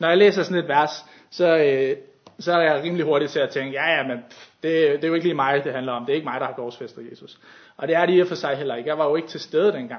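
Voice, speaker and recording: A man talks at a very fast pace in a fairly high pitch. His intonation is fairly even, while his loudness swings widely. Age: 20s. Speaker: youth leader and lay preacher. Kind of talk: sermon. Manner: halting.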